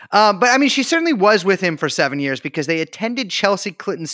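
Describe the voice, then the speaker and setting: In a raised, projected voice with a bright, sharp tone, a man speaks at a high pitch with very wide pitch swings, recorded very cleanly against a silent background with a dry, close sound and no echo. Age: 30s. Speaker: podcast co-host. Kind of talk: casual chat.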